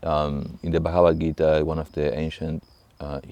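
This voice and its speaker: A man's very deep, low voice in an Argentine accent, dark and mellow in tone, at a fairly slow pace. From Argentina, Buenos Aires. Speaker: monk, monastery abbot. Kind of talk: interview monologue on spirituality. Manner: halting, many fillers and restarts.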